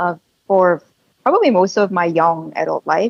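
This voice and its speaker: A woman speaks at a moderate pace with a dry, close sound and no echo. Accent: Korean. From Korea. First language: Korean. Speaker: tech company co-founder. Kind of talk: interview. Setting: video call.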